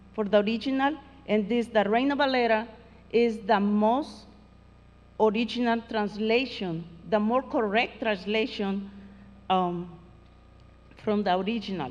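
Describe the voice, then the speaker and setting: A woman with a Spanish accent speaks at a fairly slow pace, leaving long, frequent pauses. Her pitch is fairly high, with ordinary variation. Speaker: Spanish teacher. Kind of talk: award ceremony speech. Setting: school award ceremony. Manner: halting.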